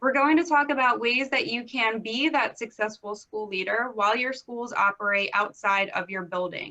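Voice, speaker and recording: Bright and sharp in tone, a woman with an American accent talks at a moderate pace with a fairly high pitch, ordinary pitch variation and hardly any pauses. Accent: faint Philadelphia, mostly gone. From US Northeast, Philadelphia area. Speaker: instructional leadership consultant. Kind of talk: conference presentation.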